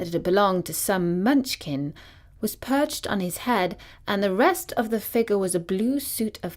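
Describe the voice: Plain reading aloud. Nothing more stands out.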